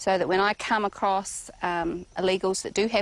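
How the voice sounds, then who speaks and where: A woman with a New Zealand accent, medium pitch and fairly even intonation. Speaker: rancher. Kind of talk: documentary interview. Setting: outdoors on a ranch.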